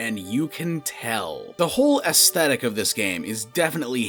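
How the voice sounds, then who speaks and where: Over music in the background, a man of medium pitch talks at a fairly slow pace with very wide pitch swings. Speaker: gaming commentator. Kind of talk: video game news commentary. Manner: casual, sarcastic.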